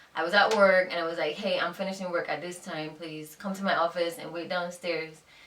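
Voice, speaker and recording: A woman talks at a moderate pace in a fairly low pitch with fairly even intonation. Noticeable background noise and audible room echo fill the recording. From Jamaica. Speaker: YouTuber, fashion blogger and teacher. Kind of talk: casual chat.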